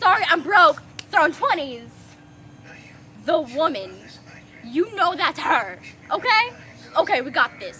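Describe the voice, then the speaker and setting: A woman speaks in a raised, projected voice at an extremely high pitch, fairly slowly, with long, frequent pauses. Her pitch swings very widely, her loudness shifts a lot, and there is noticeable background noise. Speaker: storytime vlogger. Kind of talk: storytime rant. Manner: animated.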